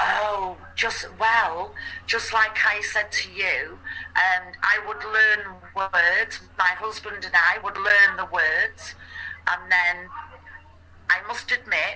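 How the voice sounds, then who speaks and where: A woman talks very slowly, with noticeable noise behind her. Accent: English. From England. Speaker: English conversation partner. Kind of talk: casual chat.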